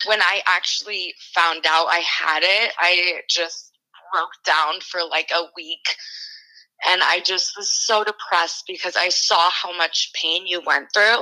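A woman's fairly low voice at a very slow pace, with fairly even intonation. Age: 20s. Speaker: barista and student with endometriosis. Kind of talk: casual interview.

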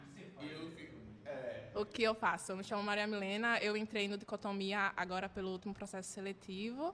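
A woman with a fairly high pitch and a bright, sharp tone speaks at a moderate pace. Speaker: university student. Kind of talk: casual chat. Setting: live stream with panel.

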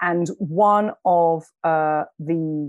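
A woman with a London accent speaks at a very deep, low pitch in a dry, close sound with no echo. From London, England. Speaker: documentary filmmaker and journalist, author. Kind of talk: interview conversation.

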